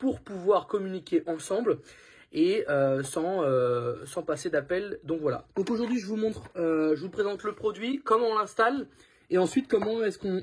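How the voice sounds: A man speaks at a high pitch with a husky, rough edge. His intonation is lively and his pace moderate.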